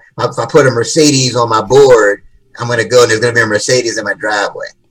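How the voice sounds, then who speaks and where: Very fast and somewhat breathy, a man with an American accent talks at a medium pitch with ordinary pitch variation. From Washington D.C. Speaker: motivational speaker and author. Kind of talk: interview.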